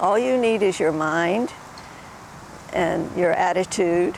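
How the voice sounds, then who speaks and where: At a very slow pace, a woman talks in a medium pitch with ordinary pitch variation. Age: 80s+. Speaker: yoga teacher. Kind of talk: interview. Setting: outdoors. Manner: halting.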